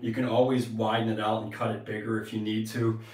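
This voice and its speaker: A man speaks at a moderate pace with audible room echo around him. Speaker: tile contractor. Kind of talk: tutorial. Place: bathroom.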